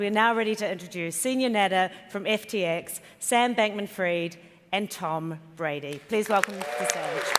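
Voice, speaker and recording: A woman's medium-pitched voice with ordinary pitch variation, in a New Zealand accent. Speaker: event emcee. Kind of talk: stage announcements. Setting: conference stage with audience.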